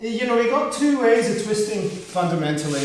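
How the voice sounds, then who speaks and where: With lively intonation, a man speaks amid noticeable background noise and audible room echo. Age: 60s. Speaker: yoga teacher. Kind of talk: guided yoga class. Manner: halting.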